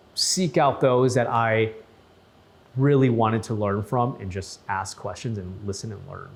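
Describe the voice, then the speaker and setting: A man with an Upper Midwest accent, medium pitch, ordinary pitch variation and a fairly slow pace. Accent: Upper Midwest American. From Saint Paul, Minnesota. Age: 30s. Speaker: news anchor. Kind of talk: interview testimony. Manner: casual, repetitive with restarts.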